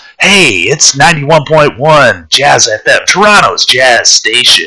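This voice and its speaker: In a put-on character voice, a man talks at a fairly slow pace with a raised, projected, raspy delivery. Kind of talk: polished broadcast.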